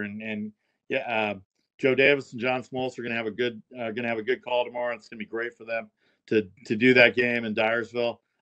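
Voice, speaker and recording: A man with a medium pitch and a bright, sharp tone talks at a fairly quick pace, his loudness swinging widely in a dry, close recording with no echo. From Southern California. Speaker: sports broadcaster. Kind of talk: casual chat.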